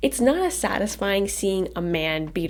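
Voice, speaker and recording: A woman speaks quietly at a fairly slow pace, her pitch swinging very widely, with noticeable background noise. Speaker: movie reviewer. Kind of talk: scripted video review.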